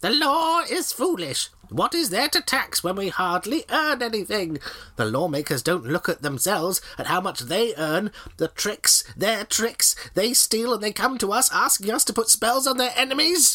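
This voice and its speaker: A man in a put-on character voice, pitched high, at a moderate pace. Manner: complaining, bitter.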